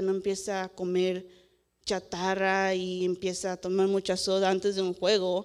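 At a fairly slow pace, a woman talks at medium pitch with very even loudness. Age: 20s. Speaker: young preacher. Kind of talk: sermon. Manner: halting, many filler sounds.

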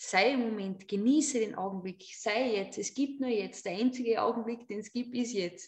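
Hardly pausing, a woman with an unremarkable speaking voice talks at a moderate pace, her pitch fairly high with ordinary variation. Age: 30s. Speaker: yoga teacher and artist. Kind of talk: casual chat.

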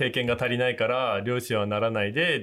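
An ordinary speaking voice from a man, pitched at a medium level, with ordinary pitch variation at a moderate pace. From Japan, Akita (Nikaho). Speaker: fisherman. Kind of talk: casual chat. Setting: video call.

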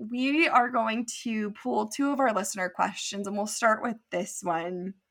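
On a very clean recording with a silent background, a woman with an unremarkable speaking voice and an American accent talks at a moderate pace, with fairly high pitch and lively intonation. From California, near Santa Cruz. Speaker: podcast co-host. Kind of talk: casual chat.

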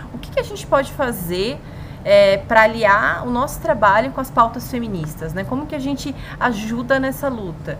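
Over noticeable background noise and audible room echo, a woman talks at a moderate pace with lively intonation and big swings in loudness. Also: fairly high pitch for a woman. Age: 30s. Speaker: podcast co-host, journalist. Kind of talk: casual chat.

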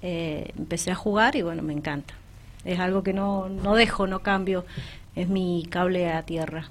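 A woman with an unremarkable speaking voice, medium pitch, fairly even intonation and a fairly slow pace. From Argentina, Malargüe (Mendoza). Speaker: amateur newcom player, mother. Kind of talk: radio interview.

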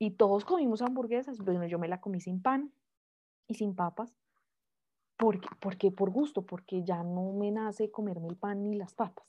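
A moderate pace with ordinary pitch variation. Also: woman, medium pitch for a woman. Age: 20s. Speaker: lawyer and mother, podcast guest. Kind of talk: personal testimony in interview. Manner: hesitant, with frequent fillers.

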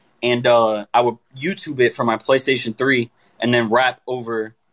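A man with an American accent talks in an unremarkable speaking voice. His pitch is medium, and the sound is dry and close with no echo. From Tampa, Florida. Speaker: musician. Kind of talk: interview.

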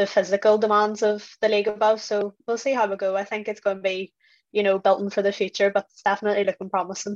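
Over a quiet background, a woman with a Northern Irish accent talks very fast in a monotone, flat intonation, the sound dry and close with no echo. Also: medium pitch for a woman. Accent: Northern Irish (Belfast). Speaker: football pundit. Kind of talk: casual chat.

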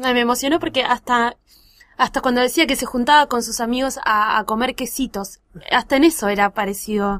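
A woman's high voice comes through dry and close with no echo. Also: ordinary pitch variation, moderate pace. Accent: Rioplatense. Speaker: podcast host. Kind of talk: casual chat.

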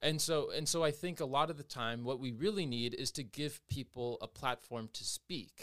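A plain, everyday voice: a man with an American accent, fairly high pitch, ordinary pitch variation, a moderate pace with hardly any pauses, and a dry, close sound with no echo. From Everett, Washington, US. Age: 20s. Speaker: dancer and singer. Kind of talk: casual chat.

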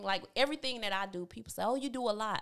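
Her pitch sits fairly high. The woman's pitch moves in an ordinary way. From rural Georgia, US South. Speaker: marketing business owner. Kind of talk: casual interview.

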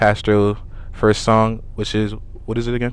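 A man is speaking. His pitch sits fairly low. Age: young. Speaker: podcast host. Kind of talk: casual interview. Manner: halting, repetitive.

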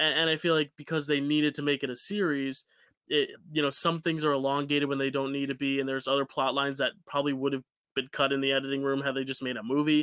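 In a very clean recording with a silent background, a man speaks at a very fast pace with a fairly high pitch and a bright, sharp, animated tone. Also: dry, close sound with no echo. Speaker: podcast host. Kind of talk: casual chat. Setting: video recording session. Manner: animated, joking.

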